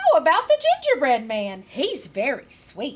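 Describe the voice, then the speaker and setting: The speaker uses a put-on character voice with very wide pitch swings at a moderate pace. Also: woman. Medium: read story.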